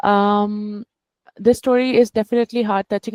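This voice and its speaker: A woman's medium-pitched voice, dark and mellow in tone, with a non-native accent, monotone, flat intonation, a fairly quick pace, and a dry, close sound with no echo. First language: not English. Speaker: book club participant. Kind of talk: casual discussion. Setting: video call. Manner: halting.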